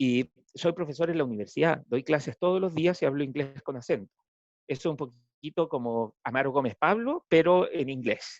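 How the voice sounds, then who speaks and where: With an unremarkable speaking voice, a man talks at a moderate pace in a fairly high pitch, his pitch varying in a normal way. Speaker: political scientist, professor. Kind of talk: talk to school audience.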